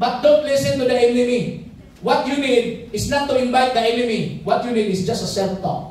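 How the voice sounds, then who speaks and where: A man speaks with a Filipino accent at an extremely high pitch and ordinary pitch variation. Audible room echo surrounds the voice. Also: moderate pace. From Philippines. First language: Tagalog. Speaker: pastor. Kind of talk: sermon with Taglish code-switching and congregation call-and-response. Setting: church service with live congregation. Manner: impassioned revival-style preaching, punctuating lines with hallelujah; repeatedly urges the congregation to shout and respond aloud. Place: church. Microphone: pa.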